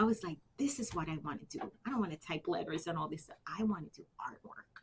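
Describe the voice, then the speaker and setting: This woman talks at a fairly quick pace, her medium pitch showing ordinary variation. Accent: New York. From Bronx, New York City. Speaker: army veteran. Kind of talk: interview answer.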